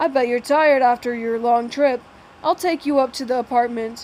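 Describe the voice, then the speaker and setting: Putting on a character voice, a woman speaks with a high pitch. Her pace is moderate and her intonation fairly even. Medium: read story. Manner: friendly, easygoing.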